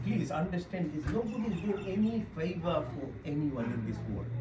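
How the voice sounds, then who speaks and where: The pace of the speech is moderate. Noticeable background noise can be heard. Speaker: doctor giving a wellness talk. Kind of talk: talk to a live audience.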